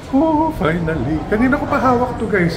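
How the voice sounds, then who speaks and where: A man speaks with very wide pitch swings. The recording has audible room echo and noticeable background noise. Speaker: vlogger. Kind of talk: travel vlog. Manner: animated.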